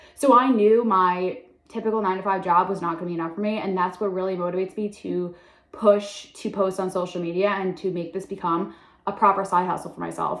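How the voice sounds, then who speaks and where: Against noticeable background noise, a woman talks at a very fast pace with a medium pitch and fairly even intonation. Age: 20s. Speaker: content creator. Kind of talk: casual vlog introduction. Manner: chatty, filler-heavy.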